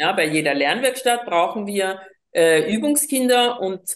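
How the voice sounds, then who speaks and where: A woman talks at a fairly slow pace. Her pitch rises and falls very widely. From Colombia. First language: Spanish (speaking German). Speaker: teacher of seeing without eyes method. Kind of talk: interview conversation. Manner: hesitant, many fillers.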